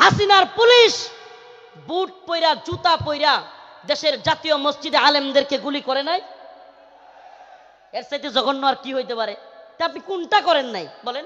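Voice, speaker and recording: A man's extremely high-pitched, raised, projected voice with lively intonation. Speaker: Islamic preacher. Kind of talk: religious sermon at a public gathering. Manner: loud, forceful, impassioned.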